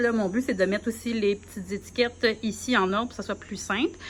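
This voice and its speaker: A woman's fairly high voice in a Quebec accent, bright and sharp in tone, at a fairly quick pace with ordinary pitch variation. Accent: Québécois French. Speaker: primary school teacher. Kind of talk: vlog, casual walkthrough. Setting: empty classroom. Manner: casual, hesitant with fillers.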